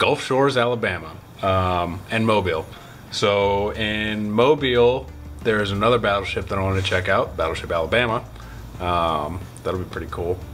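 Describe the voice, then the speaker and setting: Fairly low-pitched male speech at a moderate pace, with long, frequent pauses, ordinary pitch variation and faint background music. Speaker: vlogger. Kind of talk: casual vlog chat. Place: home room. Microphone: phone near.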